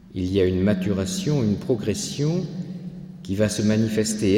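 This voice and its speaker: Audible room echo surrounds a speaker whose intonation is lively and whose pace is fairly slow. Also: man. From France, Landes. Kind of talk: lecture. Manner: halting.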